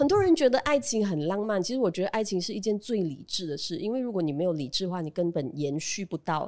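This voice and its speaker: The speech comes at a very fast pace with hardly any pauses and very wide pitch swings. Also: woman, medium pitch for a woman. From Malaysia, Pahang (Bentong). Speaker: radio host and comedian. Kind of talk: casual chat.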